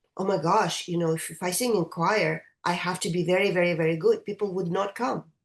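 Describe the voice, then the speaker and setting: With a Russian accent, a woman speaks at a medium pitch with fairly even intonation and hardly any pauses. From Russia, St. Petersburg. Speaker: choral conductor. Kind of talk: interview. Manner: halting.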